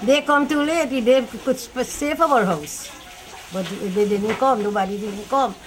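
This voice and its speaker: A woman speaks over noticeable background noise. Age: 80s+. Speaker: fire victim interviewed. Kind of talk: interview testimony. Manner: halting.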